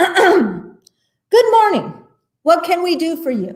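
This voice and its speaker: Putting on a squeaky character voice, a woman speaks at an extremely high pitch and a very slow pace. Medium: read story. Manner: formal, authoritative.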